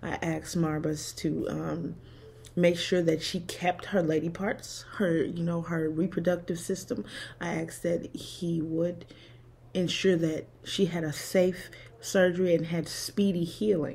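At a fairly slow pace, a woman speaks in a dark, mellow tone with vocal fry and monotone, flat intonation. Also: fairly low pitch for a woman. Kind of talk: personal testimony vlog. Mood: emotional, recounting hardship. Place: home room. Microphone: phone near.

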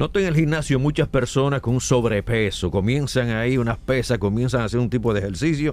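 An ordinary speaking voice, a man at medium pitch with lively intonation and a fairly quick pace. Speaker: radio host. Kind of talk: radio interview with call-ins.

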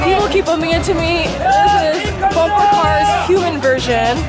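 Speech comes at a fairly slow pace over loud music in the background. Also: woman. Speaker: travel vlogger. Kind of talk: casual vlog chat. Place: market. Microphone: phone near.

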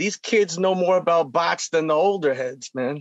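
Against a quiet background, a man talks at a fairly slow pace in a dry sound with no echo. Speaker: guest. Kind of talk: interview answer. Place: home room. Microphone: video call.

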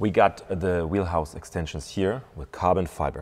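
A man speaks with a very deep, low pitch and vocal fry. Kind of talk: walkaround commentary. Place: shop.

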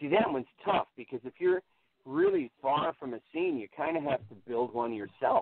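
This man's voice sits fairly high in pitch. He talks at a moderate pace. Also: lively intonation. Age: 40s. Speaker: stand-up comedian. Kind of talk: casual chat. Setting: remote call. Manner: halting.

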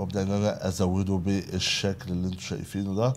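The tone is dark and mellow. It carries an Egyptian accent. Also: man. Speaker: video editing tutor. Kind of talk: tutorial. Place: home room.

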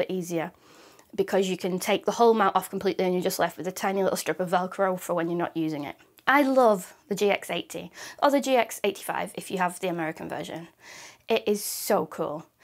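Speaking at a fast pace, a woman keeps a medium pitch with ordinary pitch variation.

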